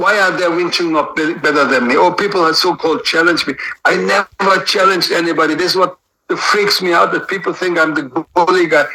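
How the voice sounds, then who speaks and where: A man with a high voice talks at a very fast pace. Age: 60s. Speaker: martial arts master. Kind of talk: interview. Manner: animated.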